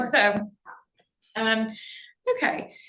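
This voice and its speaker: A loud woman's voice, fairly high in pitch, with very wide pitch swings. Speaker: panel moderator. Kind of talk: panel discussion. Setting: live panel with audience and Zoom.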